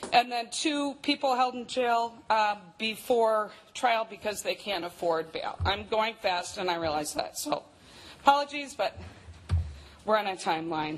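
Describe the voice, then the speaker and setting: Music plays in the background. A woman speaks at a fairly slow pace with lively intonation. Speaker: county criminal justice coordinator. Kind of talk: presentation. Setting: council meeting chamber.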